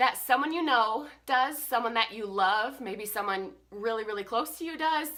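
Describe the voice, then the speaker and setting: A woman's raised, projected voice, bright and sharp in tone, animated, with very wide pitch swings. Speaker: vlogger. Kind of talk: casual vlog monologue.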